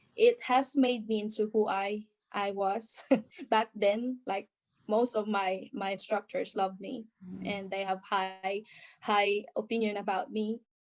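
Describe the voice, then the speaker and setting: A woman with a Filipino accent, fairly high in pitch, monotone, flat intonation and a fairly slow pace. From Philippines. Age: 30s. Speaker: nurse. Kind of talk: interview answer.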